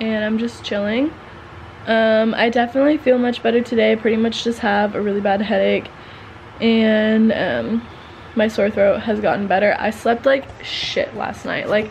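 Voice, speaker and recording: A woman speaks in a tired tone at a moderate pace, her intonation flat and monotone, over light background noise. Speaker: vlogger. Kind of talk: casual vlog chat. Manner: low, tired voice of a sick person. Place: home room. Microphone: phone near.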